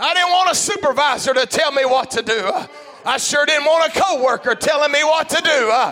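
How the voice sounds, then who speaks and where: Over noticeable background noise, a man speaks at a fairly quick pace in a raised, projected voice. His pitch is extremely high, with ordinary variation. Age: 50s. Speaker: pastor. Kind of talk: sermon.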